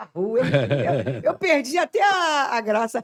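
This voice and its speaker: A woman speaks in an animated tone with a strong Rio de Janeiro accent. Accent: strong Rio de Janeiro (carioca). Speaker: missionary. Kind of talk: casual chat.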